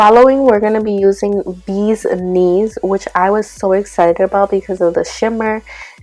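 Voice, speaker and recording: A woman's medium-pitched voice at a moderate pace, hardly any pauses, music in the background. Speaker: beauty vlogger. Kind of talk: makeup tutorial.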